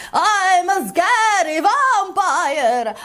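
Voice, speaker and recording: Noticeable background noise sits behind a put-on character voice. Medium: read story. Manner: shrill, squeaky.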